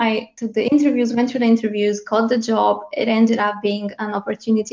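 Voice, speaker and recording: Racing at a very fast pace, a woman with a Bulgarian accent speaks in a fairly high pitch with monotone, flat intonation. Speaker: head of localization. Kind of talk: panel discussion.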